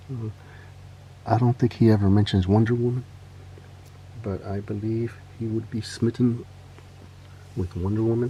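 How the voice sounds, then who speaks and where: A man speaks in a dark, mellow, relaxed tone, somewhat breathy and monotone with flat intonation, leaving long, frequent pauses. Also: medium pitch for a man, moderate pace. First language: Spanish. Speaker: toy customizer and collector. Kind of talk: casual show-and-tell. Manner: relaxed, with frequent fillers.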